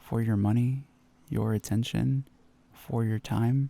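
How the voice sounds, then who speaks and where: The man speaks at a moderate pace in a gentle, dark and mellow tone. The recording is very clean with a silent background. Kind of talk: ASMR roleplay, comforting sleep aid. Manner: soft-spoken, gentle, reassuring.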